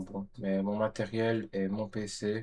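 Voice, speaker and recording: Fairly low in pitch, a man speaks in a dark, mellow tone. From Belgium, Namur area. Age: 30s. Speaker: vlogger. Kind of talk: casual vlog monologue. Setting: home bedroom.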